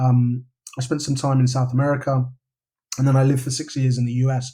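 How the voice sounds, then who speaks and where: A man with a London accent talks at a very fast pace, medium in pitch, somewhat breathy and with monotone, flat intonation. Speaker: novelist. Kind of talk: podcast interview. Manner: casual, with many repetitions and fillers.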